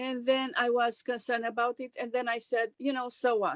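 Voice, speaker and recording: A woman with a Romanian accent speaks at a high pitch in a flat monotone, recorded very cleanly against a silent background. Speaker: actress and singer. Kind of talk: interview. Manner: halting.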